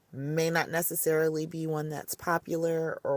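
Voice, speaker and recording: The speech moves at a moderate pace, and the sound is dry and close with no echo. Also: woman. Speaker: podcast host and gaming mom. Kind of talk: casual podcast monologue. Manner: casual, conversational.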